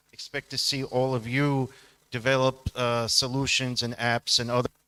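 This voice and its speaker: Loud and bright with a sharp tone, a man at medium pitch talks at a moderate pace with monotone, flat intonation. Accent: American. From United States. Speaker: audience member. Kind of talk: audience comment at event.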